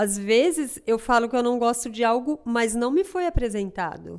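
At a moderate pace, the intonation stays lively throughout. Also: woman. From Piauí, northeast Brazil. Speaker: seamstress and sample maker. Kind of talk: casual interview conversation.

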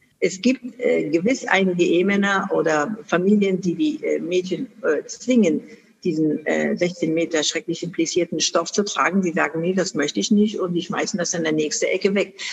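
Woman at a moderate pace and medium pitch, ordinary pitch variation, noticeable background noise. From Afghanistan, Kunduz. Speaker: charity founder and chairwoman. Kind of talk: interview. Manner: hesitant with many fillers.

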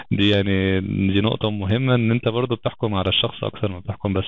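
At a very fast pace, a man speaks with a fairly low pitch and fairly even intonation. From Egypt, Alexandria. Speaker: software engineering lead. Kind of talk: podcast interview.

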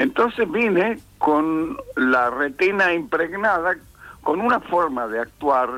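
Very slowly, a man with a fairly high pitch and a bright, sharp tone speaks in very wide pitch swings. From Argentina, Tucumán. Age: 80s+. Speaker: theatre teacher and director. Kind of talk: interview.

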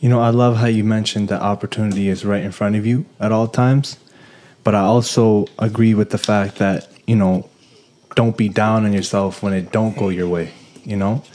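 This man has a dark, mellow tone and a fairly low pitch. He talks at a moderate pace with fairly even intonation. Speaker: podcast host. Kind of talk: casual chat.

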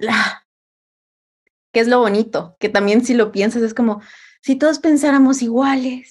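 High-pitched and animated, a woman speaks at a fairly slow pace. Her pitch moves with ordinary variation. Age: 20s. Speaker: communication coach. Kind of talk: casual chat.

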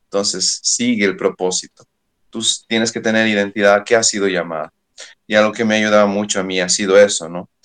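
A man's fairly low, monotone voice with flat intonation, at a fairly quick pace. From Bolivia, Oruro. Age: young. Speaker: youth pastor. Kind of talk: interview.

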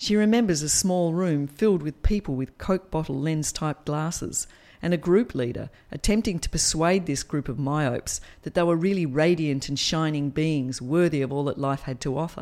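With an Australian accent, a woman speaks at a moderate pace in a very deep, low pitch, her tone dark and mellow with ordinary pitch variation, on a very clean recording with a silent background. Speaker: podcast storyteller. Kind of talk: dramatic third-person narration, reading a written memoir. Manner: expressive, storytelling cadence with wry humour.

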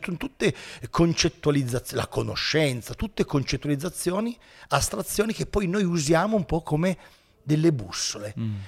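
Pitch swings very widely as a man talks at a moderate pace, somewhat breathy. The recording is very clean, with a silent background. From Italy, Turin. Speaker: philosophy teacher and YouTuber. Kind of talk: casual interview.

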